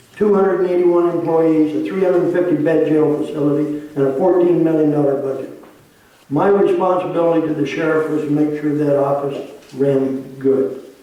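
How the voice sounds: Strong room echo surrounds fairly even intonation delivered at a moderate pace. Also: man, fairly high pitch for a man.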